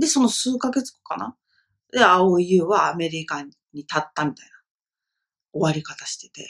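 A woman talks at a moderate pace with long, frequent pauses. The background is quiet. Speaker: film review vlogger, esthetician; film review vlogger. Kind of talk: casual solo film review monologue. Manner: hesitant, many fillers. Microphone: webcam.

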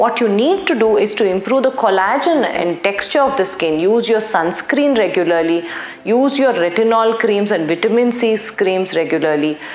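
A woman talks at a moderate pace, and room echo is audible. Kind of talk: explainer to camera. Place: studio. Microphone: lapel.

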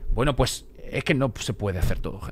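His pitch swinging very widely, the man talks at a moderate pace. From Spain. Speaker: streamer. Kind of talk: casual live stream chat. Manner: animated. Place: home room. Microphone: studio mic.

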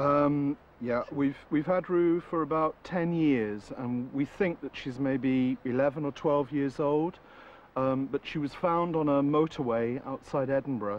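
This voice moves at a fairly slow pace with ordinary pitch variation. The sound is dry, with no echo. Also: man. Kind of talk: interview answer. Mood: relaxed, warm storytelling. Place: garden.

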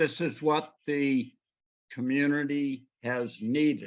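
Over a quiet background, a man with a fairly high pitch talks at a very slow pace. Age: 90s. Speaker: resident giving public comment. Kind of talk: public comment. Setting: video call, audio only.

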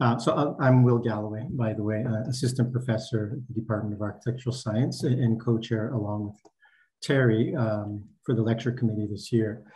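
The voice has a dark, mellow tone and is somewhat breathy. It moves at a fairly quick pace with fairly even intonation. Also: man. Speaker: assistant professor, event host. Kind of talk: event host announcements. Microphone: video call.

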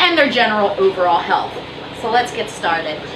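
Noticeable noise hums in the background. A woman speaks at a moderate tempo. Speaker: aquarium fish seller. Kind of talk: casual vlog chat. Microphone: camera far.

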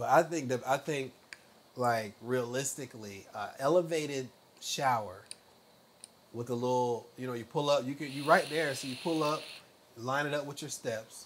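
An American accent at a moderate pace, with ordinary pitch variation, long, frequent pauses and light background noise. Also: man, medium pitch for a man. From US South. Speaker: truck driver. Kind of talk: casual chat. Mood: relaxed, animated storytelling. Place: home room. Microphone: lapel.

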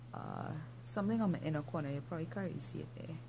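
Through noticeable background noise, a woman speaks with vocal fry. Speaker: vlogger. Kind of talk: casual vlog chat. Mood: relaxed, playful. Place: home room.

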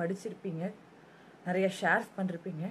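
This is a woman speaking at a medium pitch. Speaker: TV serial actress. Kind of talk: emotional public statement to camera.

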